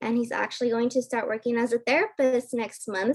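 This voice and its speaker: A high-pitched woman's voice with a Spanish accent. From California Central Valley (Hanford/Corcoran). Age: 20s. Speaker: pre-PA student speaker. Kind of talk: workshop presentation. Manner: casual, chatty with fillers.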